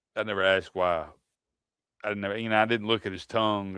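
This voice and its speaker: Against a quiet background, a man speaks very fast in a Southern US accent. His intonation is monotone and flat. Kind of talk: casual chat.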